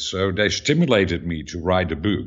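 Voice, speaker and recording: Very wide pitch swings mark this man's speech in a Dutch accent. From Netherlands. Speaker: author. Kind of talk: interview.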